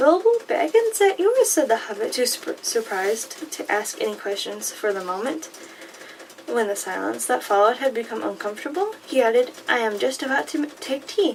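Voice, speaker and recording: Soft-spoken yet animated, the voice moves at a moderate pace over noticeable background noise. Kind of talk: audiobook-style reading of a fantasy novel. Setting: close-mic recording with paper and rain sounds. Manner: soft-spoken, becoming more animated while reading.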